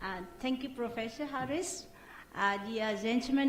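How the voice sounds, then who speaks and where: A woman speaks with lively intonation in a Vietnamese accent. There is audible room echo. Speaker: academic researcher. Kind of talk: conference presentation. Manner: halting.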